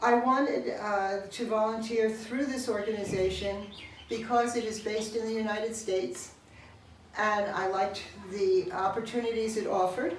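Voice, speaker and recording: Audible room echo surrounds a woman speaking at a moderate pace with a fairly high pitch and ordinary pitch variation. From US Northeast, New York City. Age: 70s. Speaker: volunteer, retired language teacher. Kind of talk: testimonial interview. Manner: hesitant, with frequent fillers.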